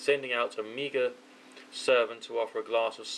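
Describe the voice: The clip is plain reading aloud.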